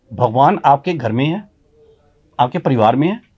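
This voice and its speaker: Sound here is dry and close, without any echo. A somewhat breathy quality runs through the voice. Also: man. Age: 60s. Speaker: motivational speaker. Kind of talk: interview. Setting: studio.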